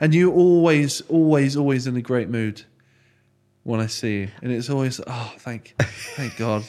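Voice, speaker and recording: A man with a West Country accent talks at a fairly slow pace and medium pitch, with ordinary pitch variation. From Froome, Somerset, England. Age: 20s. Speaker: podcast host. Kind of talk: casual interview chat.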